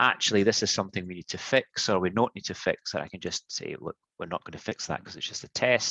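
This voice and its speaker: A man with a Scottish accent, fairly low in pitch and bright and sharp in tone, at a very fast pace with hardly any pauses, in a dry, close sound with no echo against a quiet background. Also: ordinary pitch variation, big swings in loudness. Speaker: product manager. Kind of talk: tech demo presentation. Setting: live webinar.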